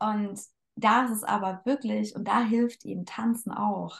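A woman speaks in a somewhat breathy voice. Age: 20s. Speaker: dance teacher and coach. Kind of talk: casual chat.

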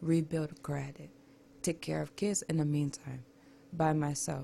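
A woman speaks at a very deep, low pitch. Her voice is somewhat breathy, with fairly even intonation. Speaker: radio guest. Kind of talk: casual chat.

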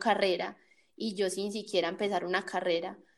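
Pitched at a medium level, a woman's voice moves at a moderate pace. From Colombia, Cali area (Jamundí, Valle del Cauca). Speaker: podcast host. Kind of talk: casual chat. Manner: animated.

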